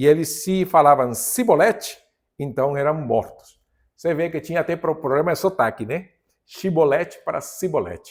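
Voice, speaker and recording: A man speaks at a moderate pace with a strong non-native accent. His pitch is fairly high, with ordinary variation. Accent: strong foreign accent in Portuguese. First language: Spanish (speaking Portuguese). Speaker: pastor / Bible teacher. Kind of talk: Bible study lesson. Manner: halting, self-correcting.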